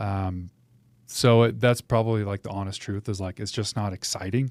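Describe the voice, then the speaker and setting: An ordinary speaking voice at a moderate pace, fairly even intonation, in a very clean recording with a silent background. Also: man, fairly low pitch for a man. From US Pacific Northwest. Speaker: realtor, former military pilot. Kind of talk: interview. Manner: casual.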